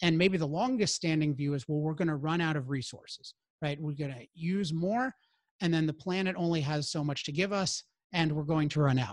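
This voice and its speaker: A man's voice, an unremarkable speaking voice, fairly high-pitched and fairly quick, ordinary pitch variation, very clean recording with a silent background. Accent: American. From US Mid-Atlantic (Maryland, DC area). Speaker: philosopher and author. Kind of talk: interview.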